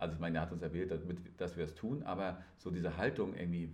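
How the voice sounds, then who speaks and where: In audible room echo, a man with a very deep, low pitch speaks at a very fast pace. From northern Germany. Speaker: podcast host. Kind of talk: casual chat.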